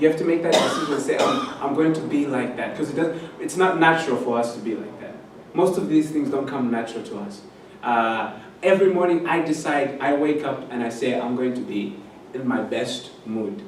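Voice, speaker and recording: A man's fairly high-pitched voice with lively intonation at a fairly quick pace, amid audible room echo and noticeable background noise. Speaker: Bible college lecturer. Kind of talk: lecture. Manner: loud; energetic.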